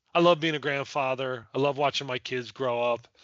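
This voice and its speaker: This is a man with an American accent. He speaks at medium pitch and a moderate pace. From Delaware, US. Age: 60s. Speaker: nonprofit founder. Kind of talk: casual interview.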